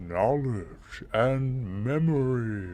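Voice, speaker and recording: Over music in the background, a man puts on a character voice at a medium pitch and talks at a very slow pace. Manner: grand, solemn.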